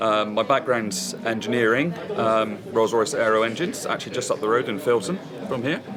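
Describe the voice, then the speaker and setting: Over noticeable background noise and audible room echo, a man talks fairly quickly at a medium pitch. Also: ordinary pitch variation. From England, Bristol. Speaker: hi-fi company founder and engineer. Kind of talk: interview. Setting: hi-fi show. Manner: halting, many ums.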